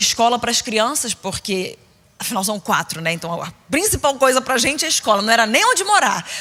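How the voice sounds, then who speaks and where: Noticeable background noise surrounds a woman with a high pitch. She speaks at a moderate pace in an animated tone with lively intonation. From Rio de Janeiro, Brazil (Niterói), later São Paulo. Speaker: preacher. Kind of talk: sermon. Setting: stage with audience at women's conference.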